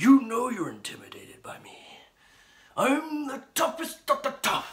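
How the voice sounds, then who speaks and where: This is a man speaking. His voice is a put-on character voice. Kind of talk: wrestling promo. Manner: brash, shouting, boastful.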